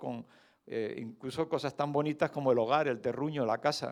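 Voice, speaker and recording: Against a quiet background, a man with a fairly high pitch speaks at a moderate pace. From Canary Islands, Spain. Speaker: lay preacher, retired doctor. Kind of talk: sermon. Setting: church service. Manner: conversational, with hesitations.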